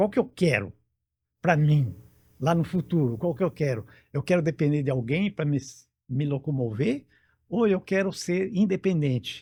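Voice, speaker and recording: A man speaks at a moderate pace, fairly high in pitch, with long, frequent pauses. His tone is dark and mellow and somewhat breathy. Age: 70s. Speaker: interview guest, healthy-aging older adult. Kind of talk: interview. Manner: halting, many fillers.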